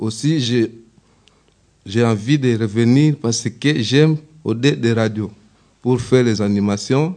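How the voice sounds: At a fairly slow pace, a man talks in a medium pitch with ordinary pitch variation and a slightly mellow tone.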